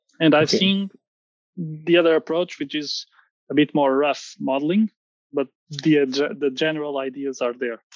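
A man's fairly high voice in a Portuguese accent, with ordinary pitch variation and long, frequent pauses. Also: moderate pace, dry, close sound with no echo. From Portugal. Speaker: structural engineer. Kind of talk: casual interview. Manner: halting.

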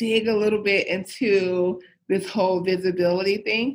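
A woman's voice at a fairly slow pace. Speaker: podcast host for women leaders. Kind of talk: interview conversation. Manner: projecting voice.

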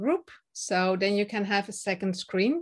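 Very clean recording with a silent background. The speaker has a Dutch accent and keeps a moderate pace. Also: woman. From Netherlands. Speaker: confidence and speaking coach. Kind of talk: interview, casual chat. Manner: some hesitations and fillers.

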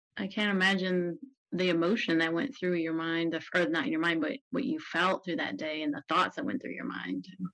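A woman with an unremarkable speaking voice talks at a moderate pace, her fairly low pitch carried by lively intonation. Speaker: podcast host. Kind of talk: interview conversation.

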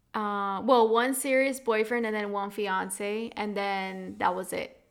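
It is an unremarkable speaking voice. The pitch varies in an ordinary way. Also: woman. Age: 20s. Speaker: podcast host. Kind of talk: casual chat.

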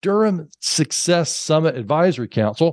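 Lively intonation from a man with a fairly high pitch, over a quiet background. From Alabama, US South. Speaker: podcast host and corporate trainer. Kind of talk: interview conversation.

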